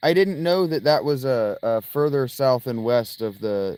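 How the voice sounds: The natural reading voice carries lively intonation throughout.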